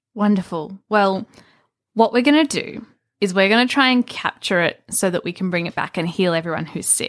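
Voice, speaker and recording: Lively intonation marks this woman's unremarkable speaking voice, at medium pitch and moderate pace, with a dry, close sound with no echo on a very clean recording with a silent background. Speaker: player in a D&D game. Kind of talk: casual tabletop game chat.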